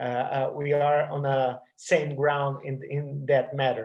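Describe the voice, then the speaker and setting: Speaking at a very slow pace, a man with a Portuguese accent uses a fairly high, somewhat breathy voice. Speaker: anthropology professor. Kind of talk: academic lecture. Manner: halting, many fillers and repetitions.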